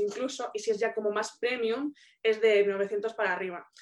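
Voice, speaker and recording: A woman's fairly high voice moves at a fairly slow pace. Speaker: business mentor. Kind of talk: Q&A session. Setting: video call.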